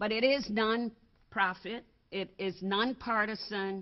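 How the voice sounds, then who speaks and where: A woman with a Virgin Islands accent speaks at a medium pitch. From US Virgin Islands. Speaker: advocacy organization board member. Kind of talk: seminar presentation. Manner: halting.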